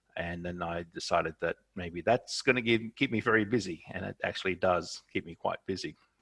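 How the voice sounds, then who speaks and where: A man speaks in a plain, everyday voice at a moderate pace with ordinary pitch variation. The sound is dry and close, with no echo. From Canada. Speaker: professor and journal editor. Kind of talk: webinar presentation. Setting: video call.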